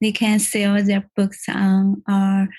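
A woman speaks very slowly and somewhat breathily at a medium pitch. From China. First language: Chinese. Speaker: artist and former scholarship student. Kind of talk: podcast interview.

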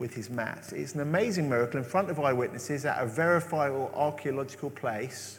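Somewhat breathy speech at a fairly quick pace, ordinary pitch variation, and audible room echo. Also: man. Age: 40s. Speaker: preacher. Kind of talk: sermon.

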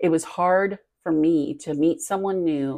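Her voice is fairly low, dark and mellow, with ordinary pitch variation. This woman is heard in a very clean recording with a silent background. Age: 50s. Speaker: podcast host. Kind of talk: personal testimony.

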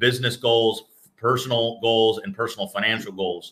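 At a fairly quick pace, a man speaks in a plain, everyday voice of medium pitch. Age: 30s. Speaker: business executive and entrepreneur. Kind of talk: casual interview.

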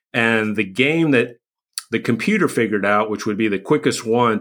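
The recording is very clean with a silent background. A man with a plain, everyday voice talks at a fairly quick pace with a medium pitch and ordinary pitch variation. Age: 50s. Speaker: recovery coach podcast host. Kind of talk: solo podcast monologue.

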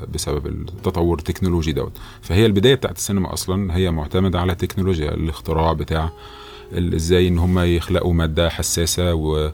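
A man's very deep, low voice at a fairly quick pace, with ordinary pitch variation and noticeable background noise. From Egypt. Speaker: film director. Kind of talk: interview. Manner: halting with repeated words.

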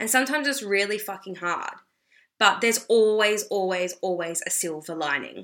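Speaking fairly quickly with an Australian accent, a woman has a medium pitch and a bright, sharp tone. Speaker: podcast host and mindset coach. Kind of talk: casual monologue. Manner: chatty with many fillers.

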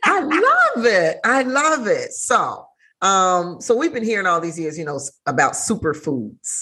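Vocal fry runs through this fairly slow delivery, which swings very widely in pitch. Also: woman, fairly high pitch for a woman. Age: 40s. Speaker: podcast host. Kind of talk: casual interview chat.

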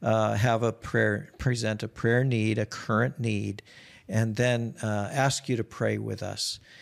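A man's medium-pitched voice in a Minnesota accent with monotone, flat intonation, on a very clean recording with a silent background. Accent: Minnesotan American. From US Midwest, Minnesota. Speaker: missionary and prayer movement founder. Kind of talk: casual interview.

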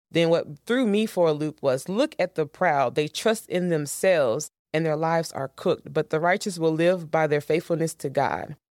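A woman with an unremarkable speaking voice, fairly low in pitch, at a moderate pace with hardly any pauses and ordinary pitch variation, on a very clean recording with a silent background and a dry, close sound with no echo. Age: 20s. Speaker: podcast host. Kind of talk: devotional teaching monologue. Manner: casual, conversational.

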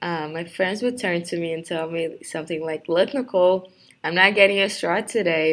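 A woman's fairly low voice with a Brazilian accent, at a moderate pace and with fairly even intonation. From Brazil, Rio de Janeiro. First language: Portuguese. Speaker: university student. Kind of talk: personal introduction monologue. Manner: halting, many fillers.

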